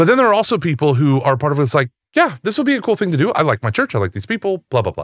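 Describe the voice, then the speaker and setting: The voice races along at a very fast pace with vocal fry and very wide pitch swings. The recording is very clean, with a silent background and a dry, close sound with no echo. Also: man, fairly high pitch for a man. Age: 40s. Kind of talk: casual interview chat.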